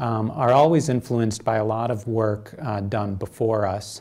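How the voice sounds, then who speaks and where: The speaker is a man. He talks fairly slowly, his pitch varying in an ordinary way. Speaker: guest lecturer. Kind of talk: lecture. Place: hall. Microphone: podium.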